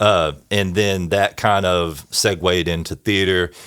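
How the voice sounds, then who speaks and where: A man talks fairly slowly. The background is silent and the recording very clean. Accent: East Texas. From East Texas. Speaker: church bass player and band director. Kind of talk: casual chat.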